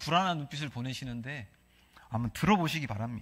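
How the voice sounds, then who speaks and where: Intonation here is lively. The words rush by at a very fast pace. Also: man, very clean recording, silent background. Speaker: pastor. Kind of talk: sermon. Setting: church.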